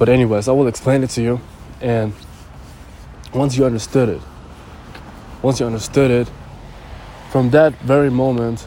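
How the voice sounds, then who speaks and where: A man's medium-pitched voice at a moderate pace, with monotone, flat intonation, long, frequent pauses and noticeable background noise. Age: 20s. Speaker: podcaster. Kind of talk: motivational monologue. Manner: halting, many fillers.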